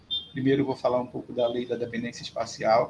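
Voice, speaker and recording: A man with a medium pitch. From Brazil, Belém (Pará). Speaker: professor. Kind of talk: lecture. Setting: remote video lecture.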